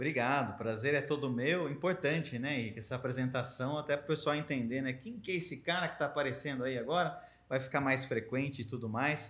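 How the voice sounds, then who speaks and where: An ordinary speaking voice, fairly quick in pace, with ordinary pitch variation. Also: man, fairly high pitch for a man. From Americana, São Paulo state, Brazil. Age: 30s. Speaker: journalist and press officer. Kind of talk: casual interview chat. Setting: association headquarters.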